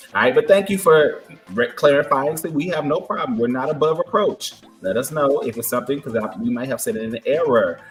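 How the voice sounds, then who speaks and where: Over music in the background, a man talks at a fairly quick pace with very wide pitch swings. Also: fairly high pitch for a man. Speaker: podcast co-host. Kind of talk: casual chat. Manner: animated.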